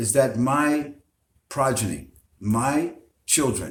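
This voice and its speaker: A man with an American accent at a very slow pace, with audible room echo. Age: 70s. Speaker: Islamic preacher. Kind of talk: interview. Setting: Facebook live broadcast. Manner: hesitant with many fillers.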